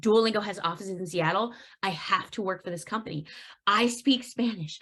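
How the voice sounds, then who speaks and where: This woman speaks fairly quickly at a medium pitch, her pitch varying in an ordinary way. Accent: American. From San Francisco Bay Area, California, with time in Mexico. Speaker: events director. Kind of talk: podcast interview. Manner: casual, with many false starts.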